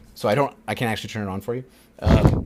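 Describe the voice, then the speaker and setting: A man's fairly low-pitched voice over noticeable background noise. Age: 30s. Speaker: podcast co-host. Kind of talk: casual chat.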